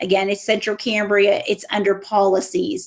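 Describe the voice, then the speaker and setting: The voice belongs to a woman. It holds a medium pitch. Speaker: school administrator. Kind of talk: presentation to parents. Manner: fast.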